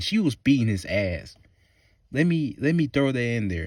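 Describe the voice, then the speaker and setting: On a very clean recording with a silent background, a man with a Southern US accent talks in an animated tone at medium pitch, with very wide pitch swings. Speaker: movie reviewer. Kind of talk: rant.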